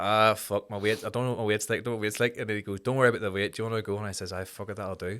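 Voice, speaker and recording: A man speaks very fast in a Belfast accent, his fairly low voice flat and monotone with hardly any pauses. The recording is very clean, with a silent background. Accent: Belfast Northern Irish. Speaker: amateur fighter and charity worker. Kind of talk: casual chat.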